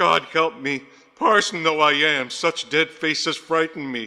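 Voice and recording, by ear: Using a put-on character voice, a man speaks at a fairly slow pace, pitched fairly high, with a bright, sharp tone, vocal fry and ordinary pitch variation.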